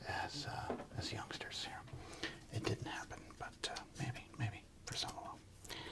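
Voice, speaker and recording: A man whispering in a relaxed tone, with noticeable background noise. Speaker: sports card ASMR host and comedian. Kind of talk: soft-spoken ASMR card-collecting talk. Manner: soft-spoken, relaxed, humorous.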